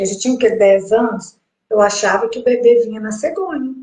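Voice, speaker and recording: Fairly quick and fairly high-pitched, a woman's unremarkable speaking voice moves with ordinary pitch variation. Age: 60s. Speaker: host's mother, sharing pregnancy experience. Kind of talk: casual interview conversation.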